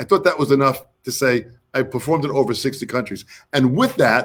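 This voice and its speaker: A speaker with an American accent talks at a moderate pace. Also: man. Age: 60s. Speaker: drummer, drum educator and interview show host. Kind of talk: casual interview chat. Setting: live online stream. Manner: animated.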